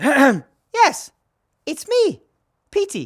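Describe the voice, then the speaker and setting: In a put-on character voice, someone squeaks at a high pitch with very wide pitch swings. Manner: funny put-on voice.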